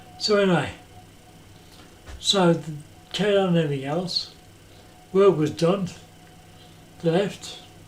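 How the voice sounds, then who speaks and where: A man speaks in a high voice with long, frequent pauses. Noticeable background noise can be heard. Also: fairly even intonation, moderate pace. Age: 60s. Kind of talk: casual talk to camera.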